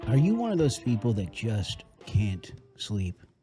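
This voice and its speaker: A man speaks at a fairly slow pace in a somewhat breathy, dark, mellow tone. The recording is very clean, with a silent background. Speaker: podcast host. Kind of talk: sponsor ad read.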